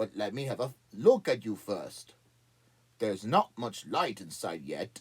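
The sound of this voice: Using a put-on character voice, a man of medium pitch rumbles at a moderate pace with lively intonation.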